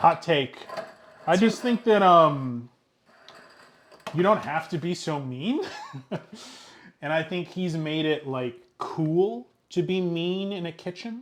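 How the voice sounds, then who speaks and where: Speaking with a New Jersey accent, a man uses a high pitch. He talks very slowly with long, frequent pauses. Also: ordinary pitch variation. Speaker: streamer hosting a cooking show. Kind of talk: casual live-stream cooking chat. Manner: casual, hesitant with fillers.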